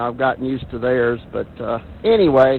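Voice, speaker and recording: A man in a Southern US accent talks at a medium tempo. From US South, Arkansas. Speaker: amateur radio operator checking in. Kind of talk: radio net check-in. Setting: amateur radio net.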